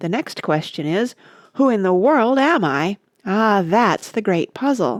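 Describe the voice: In plain reading aloud with lively intonation, the voice comes through against a quiet background.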